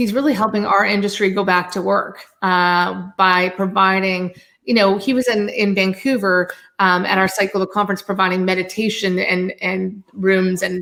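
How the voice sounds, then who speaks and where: A woman's medium-pitched voice with very even loudness and fairly even intonation. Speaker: event industry professional, company owner. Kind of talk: video call interview. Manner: fast.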